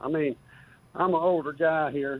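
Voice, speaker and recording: With a West Texas accent, a man talks at a fairly high pitch with fairly even intonation. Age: 70s. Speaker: caller. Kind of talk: call-in sports talk.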